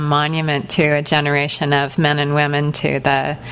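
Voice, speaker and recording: A woman speaks with a very deep, low pitch. Background noise is noticeable. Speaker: writer and teacher interviewer. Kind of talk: onstage interview. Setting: bookstore event.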